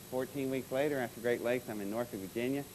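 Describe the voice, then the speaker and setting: At a very fast pace, a man with an American accent speaks with lively intonation. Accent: Georgia accent, mostly suppressed on stage. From Georgia, US South. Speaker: aerospace consultant and speaker. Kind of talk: conference talk. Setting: stage with audience. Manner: animated storytelling.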